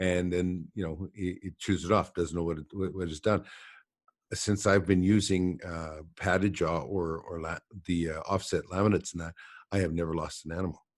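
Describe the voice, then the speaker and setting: This man has a very deep, low pitch and a western Canadian accent. His intonation is monotone and flat, at a moderate pace. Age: 60s. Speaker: podcast host and trapper. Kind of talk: casual interview chat. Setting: internet call.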